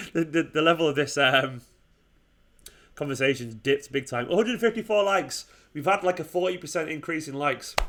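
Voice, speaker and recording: Speaking at a fairly quick pace, a man with an English accent uses a fairly high pitch and lively intonation. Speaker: football fan channel host. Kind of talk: live stream watchalong chat. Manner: fast.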